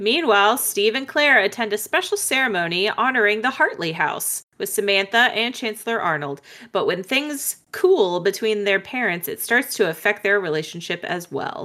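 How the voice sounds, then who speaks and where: In a plain, everyday voice, a woman speaks at a moderate pace with hardly any pauses, fairly high in pitch and lively in intonation. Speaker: podcast host. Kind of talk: casual chat.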